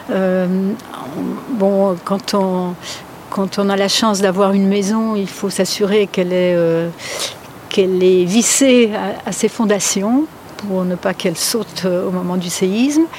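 At a very slow pace, a woman speaks in a medium pitch with fairly even intonation. She takes long, frequent pauses amid noticeable background noise. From France, Polish family. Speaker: seismologist. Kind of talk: interview. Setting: outdoors in a garden. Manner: hesitant, many fillers.

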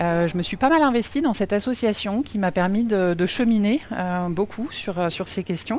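A plain, everyday voice carries lively intonation. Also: woman, medium pitch for a woman, moderate pace. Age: 40s. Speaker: company executive. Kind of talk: interview. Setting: on-site at company offices.

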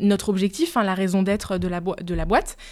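A woman's voice with a dark, mellow tone. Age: 30s. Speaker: marketing manager. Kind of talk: interview.

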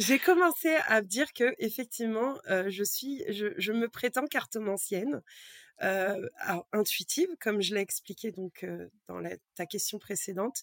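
On a very clean recording with a silent background and a dry, close sound with no echo, a woman speaks at a fairly high pitch with lively intonation. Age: 30s. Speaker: card reader and energy healer. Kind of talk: casual interview chat. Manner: halting.

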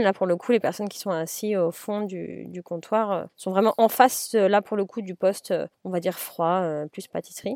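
The sound is dry and close with no echo as a woman speaks at a moderate pace. Her medium-pitched voice has a dark, mellow tone and fairly even intonation. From Paris, France. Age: 30s. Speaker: chef and restaurant owner. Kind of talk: interview. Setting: in a car, remote call. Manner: halting, many fillers.

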